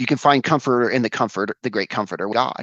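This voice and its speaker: Against a quiet background, a man with an ordinary speaking voice and medium pitch talks with lively intonation in a dry, close sound with no echo. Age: 40s. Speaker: podcast guest. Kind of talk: casual chat.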